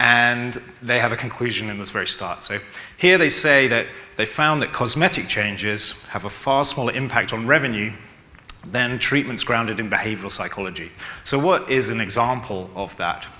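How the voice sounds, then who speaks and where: Against noticeable background noise and audible room echo, a man with a London accent talks at a medium pitch with ordinary pitch variation. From London, England. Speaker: e-commerce consultant. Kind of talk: conference talk. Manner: fast.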